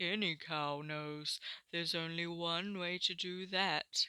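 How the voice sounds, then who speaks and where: Using a put-on character voice at a middle pitch, the speaker moves at a fairly slow pace. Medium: read story.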